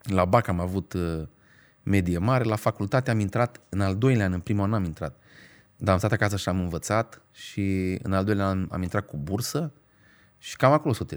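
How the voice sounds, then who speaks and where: A man with a fairly low voice speaks at a moderate pace, his pitch varying in an ordinary way, on a very clean recording with a silent background. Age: 40. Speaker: stand-up comedian. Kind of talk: casual chat. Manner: halting, many filler sounds.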